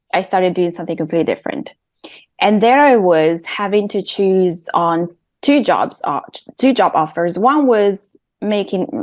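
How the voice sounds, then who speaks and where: A woman's medium-pitched voice with an Italian accent, lively intonation and a moderate pace. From Italy. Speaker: intuitive and creative coach. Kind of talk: podcast interview.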